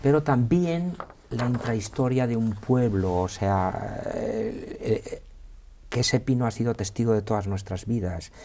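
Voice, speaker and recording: A man at medium pitch with an Aragonese accent, fairly slow pace and ordinary pitch variation. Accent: Aragonese (maño) accent, kept. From Spain, Aragon (Villafranca de Ebro). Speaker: historian and university teacher. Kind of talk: interview. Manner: hesitant, many fillers and repetitions.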